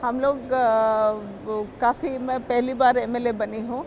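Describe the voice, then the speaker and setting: A high-pitched woman speaking in a monotone, flat way over noticeable background noise. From India, Odisha (Ganjam district). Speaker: state legislator. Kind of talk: interview testimony. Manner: hesitant, many fillers.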